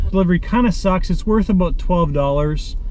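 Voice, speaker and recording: Light background noise under a man's dry voice with no echo. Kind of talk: casual vlog chat. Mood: mildly annoyed, venting. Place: car. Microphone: phone near.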